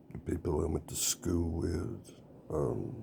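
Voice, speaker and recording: A man speaks with a Southern US accent at a very deep, low pitch. His tone is dark and mellow, with vocal fry. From US South, rural. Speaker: political candidate. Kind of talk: campaign speech. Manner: halting, with fillers.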